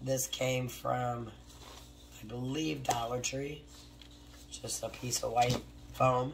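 Against noticeable background noise, a woman with an American accent speaks at a very slow pace with long, frequent pauses. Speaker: craft YouTuber. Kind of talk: tutorial. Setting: home craft studio, with barking dogs. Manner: casual, talks while working.

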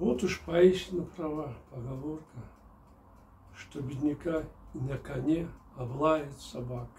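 A man at a very slow pace, with long, frequent pauses, big swings in loudness, ordinary pitch variation and light background noise. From Kyrgyzstan. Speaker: novelist reading his own book. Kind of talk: reading aloud. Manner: formal. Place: home room.

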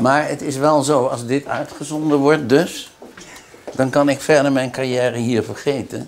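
Over light background noise, a man speaks in an unremarkable speaking voice, fairly high in pitch, at a fairly slow pace with fairly even intonation. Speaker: doctor. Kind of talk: medical consultation. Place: office.

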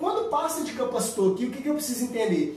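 A man speaks in an animated tone at an extremely high pitch. There is audible room echo. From Brazil. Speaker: motorcycle tuning instructor. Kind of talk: tutorial. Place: empty room.

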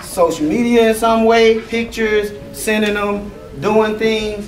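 A man with a warm tone speaks at a very slow pace, with audible room echo and light background noise. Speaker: youth football coach. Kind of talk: pep talk / award presentation. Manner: warm, earnest, encouraging; conversational, stumbling and repeating himself. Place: hall.

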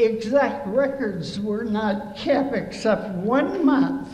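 A woman at a slow pace, with fairly high pitch, lively intonation, a slightly mellow tone and strong room echo

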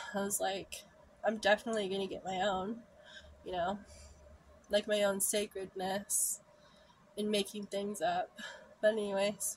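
Her intonation is monotone and flat, and the woman sounds somewhat breathy. Long, frequent pauses break up her speech over light background noise. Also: moderate pace. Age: 30s. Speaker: vlogger. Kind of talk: personal storytelling monologue. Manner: frequent laughter. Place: home room. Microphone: phone near.

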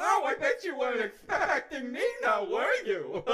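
A put-on character voice with a high pitch runs at a moderate pace over light background noise. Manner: mocking, smug.

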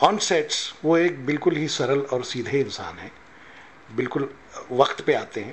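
A man talks very slowly while light background noise can be heard. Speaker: actor. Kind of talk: interview answer. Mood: calm, humble, reflective. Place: hall. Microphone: handheld.

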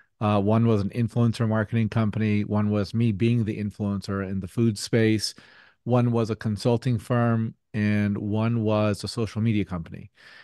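A man talks at a moderate pace in a fairly low, dark, mellow voice with fairly even intonation. The sound is dry with no echo, over a quiet background. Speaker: podcast guest. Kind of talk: interview answer. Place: home room. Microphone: studio mic.

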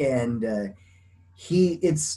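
A man's somewhat breathy, fairly high voice has a dark, mellow tone and lively intonation. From US West, small town in Colorado. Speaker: blind woodworker; interview guest. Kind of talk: interview. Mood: relaxed, friendly. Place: home room. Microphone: video call.

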